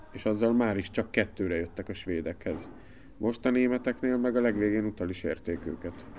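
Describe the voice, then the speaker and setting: A man's fairly low-pitched voice at a moderate pace, a plain, everyday voice. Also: ordinary pitch variation. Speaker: TV sports journalist. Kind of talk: casual chat. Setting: studio.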